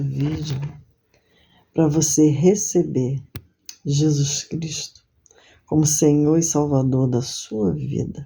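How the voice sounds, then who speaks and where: In a room with audible echo, a woman with a very deep, low pitch and a dark, mellow tone speaks somewhat breathily at a very slow pace. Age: 60s. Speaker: lay preacher. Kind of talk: sermon; testimony.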